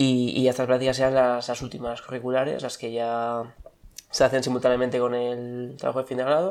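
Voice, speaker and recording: Delivered at a fairly quick pace, the voice stays monotone, with flat intonation. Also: man, medium pitch for a man. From Spain, Basque Country (Bilbao). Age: 20s. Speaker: former tourism student. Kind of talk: interview.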